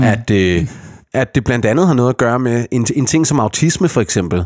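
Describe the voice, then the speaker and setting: A plain, everyday voice from a man, medium-pitched with lively intonation, at a moderate pace. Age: 30s. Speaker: podcast host. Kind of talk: casual chat.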